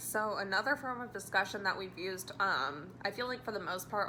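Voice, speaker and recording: Loud and bright, sharp in tone, the speech has lively intonation and a moderate pace, with audible room echo. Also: woman. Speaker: student teacher. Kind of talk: spoken reflection. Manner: loud and expressive; casual with many fillers.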